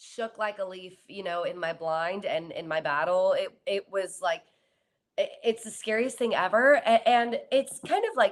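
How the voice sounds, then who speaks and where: With a normal speaking voice and an American accent, a woman talks at a fairly slow pace and fairly high pitch, her intonation lively. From Southern California. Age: 20s. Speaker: singer. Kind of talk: interview.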